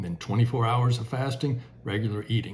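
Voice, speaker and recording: The man's voice is somewhat breathy. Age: 60s. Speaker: retiree health vlogger. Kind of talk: casual vlog talk. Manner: casual with many filler words.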